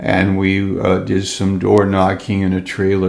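With vocal fry and a slightly mellow tone, a man speaks slowly at a low pitch.

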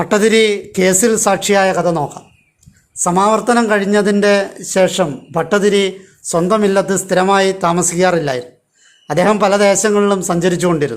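A man's high voice holds very even loudness and fairly even intonation. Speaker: storyteller narrating legends. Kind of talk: scripted narration. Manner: measured, phrase-by-phrase pacing.

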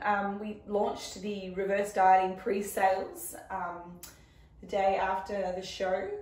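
A woman speaks in an Australian accent. Room echo is audible. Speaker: fitness coach and dietitian. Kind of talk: casual chat.

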